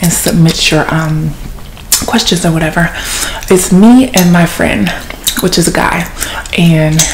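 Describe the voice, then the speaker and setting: With light background noise behind her, a woman speaks at a fairly low pitch and a fairly slow pace. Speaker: ASMR channel host. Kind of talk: casual vlog chat. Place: home room. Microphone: phone near.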